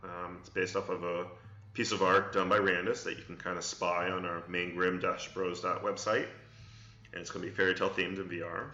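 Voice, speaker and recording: With audible room echo, a man with a very deep, low pitch talks at a fairly quick pace in a monotone, flat intonation. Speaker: game studio CEO streaming Q&A. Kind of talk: live stream Q&A. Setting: live stream. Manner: hesitant with repetitions.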